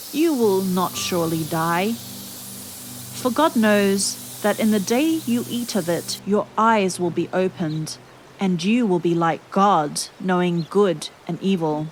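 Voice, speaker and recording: Over music in the background, a woman speaks very slowly in a calm, soothing tone with ordinary pitch variation. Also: medium pitch for a woman. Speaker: Bible reader. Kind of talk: serene Bible reading with relaxing background music.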